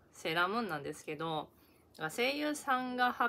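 Speaking with a Kansai accent, a woman keeps a moderate pace. Her intonation is lively. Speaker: YouTuber. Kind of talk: casual vlog review. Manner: casual, halting with fillers.

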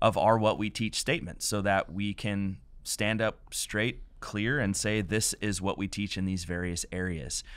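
At a fairly slow pace, a man talks in a fairly low voice with ordinary pitch variation, the sound dry and free of echo. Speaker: pastor hosting a podcast. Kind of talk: podcast introduction. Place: studio. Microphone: studio mic.

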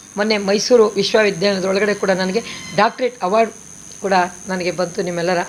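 A woman speaks at medium pitch with ordinary pitch variation. Noticeable background noise sits behind her. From northern Karnataka (raised in Basavana Bagewadi; born Chamarajanagar). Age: 60s. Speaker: stage and television actress. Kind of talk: press statement.

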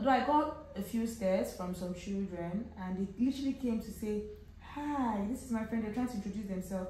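In a room with audible echo and light background noise, a woman speaks with ordinary pitch variation. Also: fairly quick pace. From Nigeria. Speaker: travel vlogger. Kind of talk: casual vlog talk to camera. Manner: animated. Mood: relaxed, animated. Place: home room.

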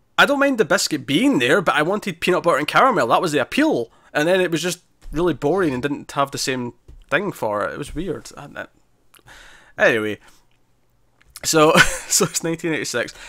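Fairly high in pitch, a man speaks at a moderate pace in a bright, sharp tone, his pitch swinging very widely. He leaves long, frequent pauses against a quiet background. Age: 20s. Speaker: TV review podcast co-host. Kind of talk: casual chat; solo recorded insert. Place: home room. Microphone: studio mic.

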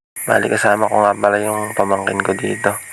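Flat and monotone, a man speaks at a fairly quick pace with a fairly low pitch. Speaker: outdoor vlogger. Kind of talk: voice-over narration. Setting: outdoors by a river mouth at dusk.

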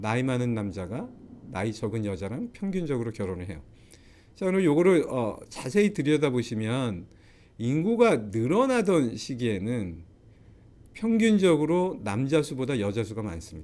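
Audible room echo surrounds a man speaking at a moderate pace, medium in pitch. His dark, mellow tone carries very wide pitch swings. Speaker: professor. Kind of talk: lecture. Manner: frequent filler hesitations.

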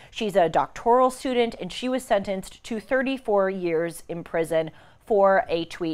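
Lively in intonation, a woman speaks at a fairly quick pace. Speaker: show host. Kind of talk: news commentary. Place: studio. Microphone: lapel.

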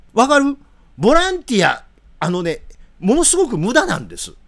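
A man with a Kansai accent. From Japan. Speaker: political commentator. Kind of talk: live commentary. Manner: animated. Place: home room. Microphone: studio mic.

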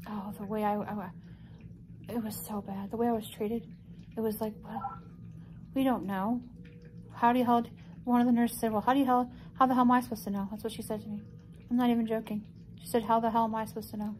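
In light background noise, a woman talks very fast in a monotone, flat intonation. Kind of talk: casual vlog chat. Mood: upset, indignant storytelling. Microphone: phone near.

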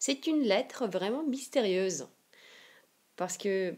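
A woman speaks with lively intonation. Her pace is very slow. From Siberia, Russia. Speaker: Russian language teacher. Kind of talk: language lesson to camera.

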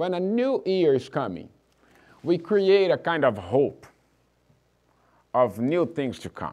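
A man's fairly slow speech sits against a quiet background. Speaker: pastor. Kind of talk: sermon. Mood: warm, encouraging. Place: church.

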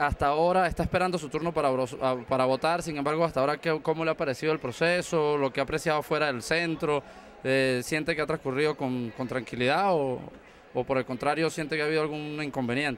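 Light background noise sits behind a man's voice. He talks at a fairly quick pace with fairly even intonation. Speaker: community TV reporter. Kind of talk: news field report and interview questions. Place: hall. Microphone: handheld.

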